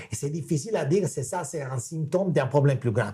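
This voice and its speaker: A man with a non-native accent speaks very fast in a fairly high, somewhat breathy voice with a dark, mellow tone. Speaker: macro analyst. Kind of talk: webinar Q&A. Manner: halting.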